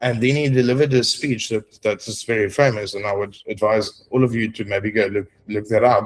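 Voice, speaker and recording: A man speaks at a moderate pace with a South African accent and a medium-pitched voice. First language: Afrikaans. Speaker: roundtable participant. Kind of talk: group discussion presentation. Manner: halting, many fillers.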